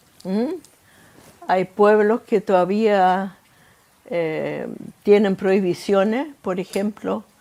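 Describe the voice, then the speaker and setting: A woman's medium-pitched voice, very slow, with long, frequent pauses, fairly even intonation, and noticeable background noise. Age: 90s. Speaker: Holocaust survivor. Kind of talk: interview testimony. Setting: in-person interview. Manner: halting.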